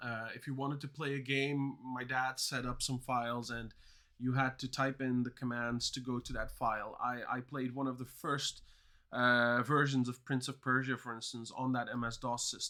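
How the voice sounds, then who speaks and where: With a slight non-native accent, a man speaks at medium pitch in a bright, sharp tone and a flat, monotone delivery, recorded very cleanly against a silent background. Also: moderate pace. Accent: near-native English. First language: Dutch and Turkish. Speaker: coding learner streamer. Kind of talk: live stream chat. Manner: hesitant, many fillers.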